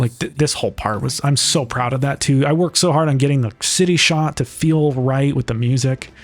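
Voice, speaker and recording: A normal speaking voice, this man's is fairly high with fairly even intonation. He keeps a fairly quick pace, very even loudness and hardly any pauses. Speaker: film director and narrator of his own short. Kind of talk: director's commentary, casual. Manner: casual, many fillers and restarts.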